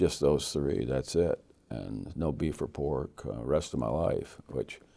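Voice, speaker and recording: A man speaks at a very slow pace in a very deep, low voice with a dark, mellow tone, ordinary pitch variation, and vocal fry. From United States. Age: 70s. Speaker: evangelist. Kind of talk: interview. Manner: halting.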